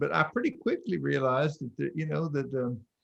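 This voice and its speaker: Here a man speaks with a North Carolina accent. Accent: Southern US, North Carolina. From North Carolina, Stokes County. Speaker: pastor and author. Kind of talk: interview conversation.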